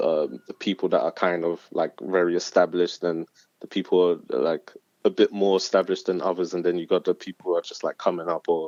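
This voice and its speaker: In a London accent, the speaker goes at a fairly quick pace, with a dry, close sound and no echo. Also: man. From South London. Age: 20s. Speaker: spoken word artist. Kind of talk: casual interview. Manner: hesitant, many fillers.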